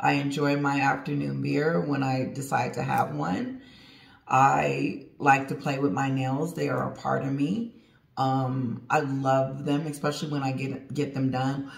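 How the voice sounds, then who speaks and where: Audible room echo surrounds the voice. A woman speaks at a fairly slow pace. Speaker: channel host. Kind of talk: casual vlog chat. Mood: relaxed, laughing. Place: home room. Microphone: phone near.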